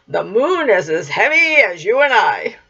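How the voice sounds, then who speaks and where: This put-on character voice is raspy and fairly high in pitch. It moves at a moderate pace. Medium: read story.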